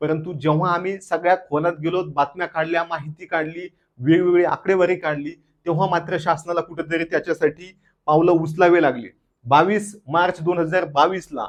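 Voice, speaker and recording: This man's voice is high-pitched. His intonation is monotone and flat. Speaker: activist and former government employee. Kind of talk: video monologue. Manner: impassioned.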